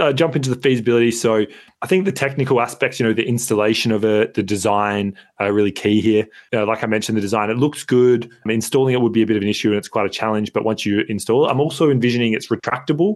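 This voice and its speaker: Talking at a very fast pace, a man with an Australian accent uses ordinary pitch variation. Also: medium pitch for a man, very even loudness. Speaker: podcast co-host. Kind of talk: casual chat. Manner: loud.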